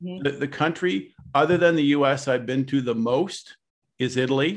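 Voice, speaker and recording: A man with a Canadian accent speaks at a medium pitch. He has an unremarkable speaking voice. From Canada, Ottawa. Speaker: real estate broker and association president. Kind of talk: interview.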